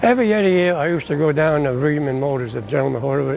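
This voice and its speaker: A fairly high-pitched man at a very fast pace, with noticeable background noise. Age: 80s+. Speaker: WWII Navy veteran. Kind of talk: interview answer. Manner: casual, rambling.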